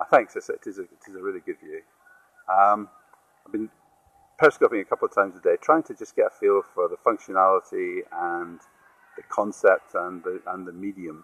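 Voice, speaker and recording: A man speaks fairly quickly in a Scottish accent, with big swings in loudness. Long pauses break up his speech often. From Scotland. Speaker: social media broadcaster. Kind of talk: casual live-stream monologue. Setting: outdoors by a river, live stream. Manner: halting, with frequent repetitions and fillers.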